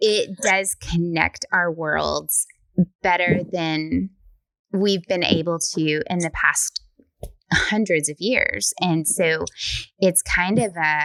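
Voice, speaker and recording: Speaking in a Southern US accent, a woman uses a fairly low pitch and fairly even intonation at a very slow pace. Long, frequent pauses break up the dry, close sound with no echo. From US South. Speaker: podcast host. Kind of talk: interview.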